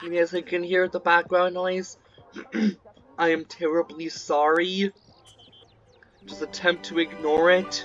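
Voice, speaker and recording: A fairly slow pace with long, frequent pauses and faint music in the background. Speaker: gameplay narrator. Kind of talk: casual gameplay commentary.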